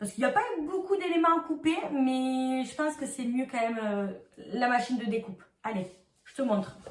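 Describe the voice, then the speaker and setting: This woman speaks in a southern French accent with a high pitch. Her intonation is lively. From southern France. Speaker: crafts youtuber. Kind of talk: tutorial. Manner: casual, chatty.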